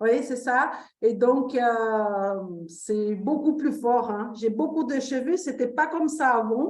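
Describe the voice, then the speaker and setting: Speaking very slowly with a non-native accent, a woman uses a high pitch and ordinary pitch variation, and audible room echo is present. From Brazil. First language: Portuguese (speaking French). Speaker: testimonial participant. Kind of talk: testimony. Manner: halting.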